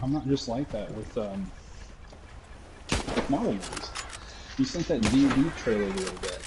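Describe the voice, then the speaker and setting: Over noticeable background noise, a man speaks at a moderate pace and medium pitch. His pitch varies in an ordinary way, and he takes long, frequent pauses. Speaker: gamer streaming gameplay with a friend. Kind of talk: casual chat. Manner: halting, stuttering.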